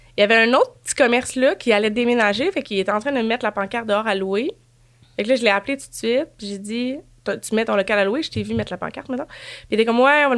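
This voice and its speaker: Speaking very fast with a Quebec accent, a woman has a fairly high pitch, ordinary pitch variation and big swings in loudness. The recording is very clean with a silent background. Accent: Québécois French. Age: 30s. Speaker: guest. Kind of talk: casual chat.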